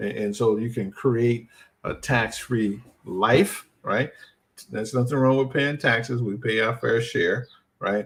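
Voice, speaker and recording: This man talks at a fairly slow pace with a medium pitch. His voice is somewhat breathy. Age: 60s. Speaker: financial educator. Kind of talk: live stream talk. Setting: live stream. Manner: casual, repeated 'right?' tags.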